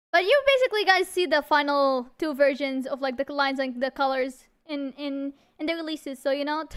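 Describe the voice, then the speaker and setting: At a fairly quick pace, a woman with a non-native accent speaks in an animated tone at a high pitch. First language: not English. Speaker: vtuber singer and streamer. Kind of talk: livestream chat. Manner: halting, many restarts.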